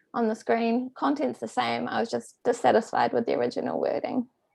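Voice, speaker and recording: A woman with a New Zealand accent at a very fast pace. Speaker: PhD candidate giving a talk. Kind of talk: academic lecture. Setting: remote presentation from home.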